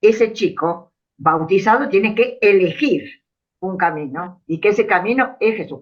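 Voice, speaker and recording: A woman's medium-pitched voice swings very widely in pitch. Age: 80s+. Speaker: parishioner in discussion. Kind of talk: group discussion. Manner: hesitant, many fillers.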